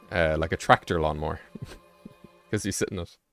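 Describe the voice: With music in the background, a man speaks in a very deep, low pitch with fairly even intonation, the sound dry and close with no echo.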